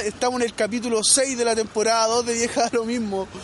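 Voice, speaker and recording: A man talks at a moderate pace with a Chilean accent and an extremely high pitch. Noticeable background noise runs behind him. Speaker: podcast co-host. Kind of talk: casual chat.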